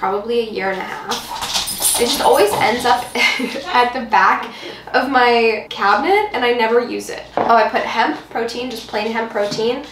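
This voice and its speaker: A woman's pitch varies in an ordinary way. Background noise is noticeable. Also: moderate pace. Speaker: cooking vlogger. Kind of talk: casual vlog chat. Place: kitchen. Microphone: camera far.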